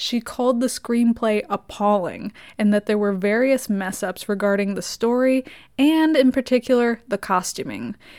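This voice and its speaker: A woman speaks in a plain, everyday voice, pitched fairly high, with ordinary pitch variation. Her pace is moderate, and the recording is very clean with a silent background. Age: 20s. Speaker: podcast host and film reviewer. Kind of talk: solo film review podcast. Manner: casual, sarcastic.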